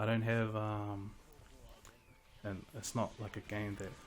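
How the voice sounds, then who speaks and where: A man speaks at fairly low pitch and a fairly slow pace. His intonation is monotone and flat. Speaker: gaming YouTuber. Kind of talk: casual gaming commentary. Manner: halting, many fillers.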